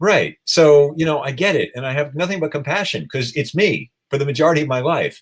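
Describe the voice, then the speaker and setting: A somewhat breathy man at a fairly high pitch and a fairly quick pace. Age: 60s. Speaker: animal rights activist. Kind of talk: interview.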